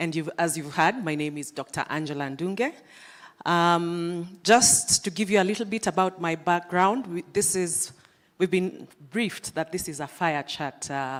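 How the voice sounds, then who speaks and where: A woman's fairly low voice with ordinary pitch variation, at a fairly slow pace. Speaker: lecturer and panel moderator. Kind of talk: fireside chat moderation. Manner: loud.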